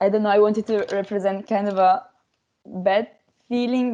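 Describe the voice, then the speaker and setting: With an Italian accent, a woman speaks at a medium pitch in a dark, mellow tone, her intonation monotone and flat. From Italy. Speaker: language workshop participant. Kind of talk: casual group discussion. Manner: halting, many fillers.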